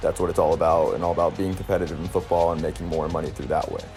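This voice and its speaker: Music plays behind the voice. The speaker is a man with an American accent. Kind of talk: sports commentary to camera. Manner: monotone.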